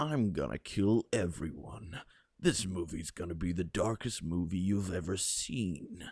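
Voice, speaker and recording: A man puts on a character voice, pitched very deep and low, with ordinary pitch variation at a moderate pace. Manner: menacing.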